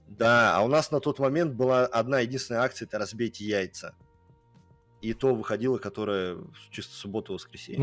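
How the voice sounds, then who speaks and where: Faint music sits in the background as a man talks at a fairly quick pace with ordinary pitch variation. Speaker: game streamer. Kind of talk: casual stream commentary. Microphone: studio mic.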